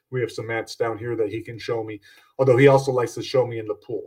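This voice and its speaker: A man is speaking. He goes at a fairly quick pace. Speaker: podcast host and horror author. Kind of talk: casual solo podcast monologue. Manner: upbeat, fast, rushed.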